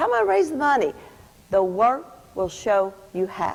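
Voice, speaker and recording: A woman with a Kentucky accent talks at a very fast pace and a fairly high pitch, with noticeable background noise. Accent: Kentucky accent, others made fun of it. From US South, rural Kentucky (Adair County). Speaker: program director giving graduation speech. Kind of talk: commencement speech. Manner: animated, inspirational.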